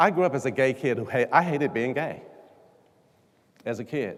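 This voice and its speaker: A man with an American accent and a medium pitch speaks at a fairly quick pace with lively intonation, leaving long, frequent pauses. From US, Washington DC. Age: 60s. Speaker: leadership coach. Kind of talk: keynote speech. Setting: stage with audience.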